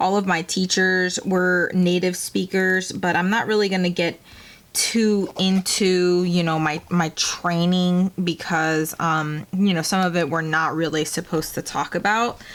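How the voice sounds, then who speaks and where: A woman with a Spanish accent speaks at fairly low pitch and a fairly slow pace in a monotone, flat intonation. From Peru-born, raised in Maryland, US. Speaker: planner YouTuber, military veteran. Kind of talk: casual chat while planning. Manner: casual, with fillers and restarts.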